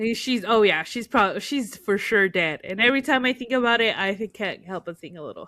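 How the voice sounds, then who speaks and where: Speaking at a fairly quick clip with hardly any pauses, a woman uses a bright, sharp tone, ordinary pitch variation and big swings in loudness. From United States, raised in Spanish-speaking Mexican family. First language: Spanish. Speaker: podcast co-host. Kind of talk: casual chat. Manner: halting, many fillers.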